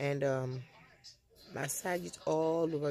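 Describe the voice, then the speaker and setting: This woman's pitch is very deep and low. Her pitch variation is ordinary. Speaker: soap maker and seller. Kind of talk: tutorial. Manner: halting.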